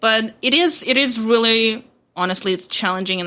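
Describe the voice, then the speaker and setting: A woman with a non-native accent, at a fairly slow pace, with ordinary pitch variation. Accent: foreign. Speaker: fitness competitor. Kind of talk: interview answer.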